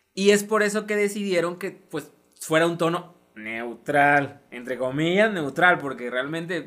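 The man's fairly high voice moves in very wide pitch swings. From coastal Mexico. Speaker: podcast host. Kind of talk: casual chat.

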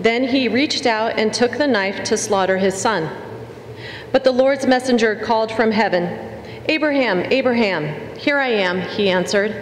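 Over noticeable background noise, a woman speaks at a moderate pace in a fairly high pitch, with ordinary pitch variation and very even loudness. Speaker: lector. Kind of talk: scripture reading and announcements. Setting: church.

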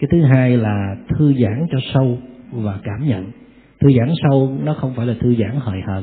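A man with an unremarkable speaking voice talks at a fairly slow pace and medium pitch, using ordinary pitch variation. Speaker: Buddhist monk giving a Dharma talk. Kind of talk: Dharma lecture with Q&A. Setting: temple hall with audience.

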